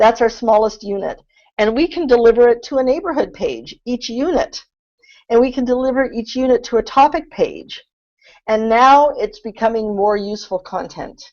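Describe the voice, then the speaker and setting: A woman talks in a high voice with ordinary pitch variation against a quiet background. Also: moderate pace. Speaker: content strategy consultant. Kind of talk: webinar presentation. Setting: online webinar.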